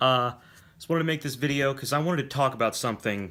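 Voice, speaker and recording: In a very clean recording with a silent background, a man's medium-pitched voice has a bright, sharp tone and lively intonation. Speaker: vlogger, film commentator. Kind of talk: unscripted vlog commentary. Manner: occasional stammering.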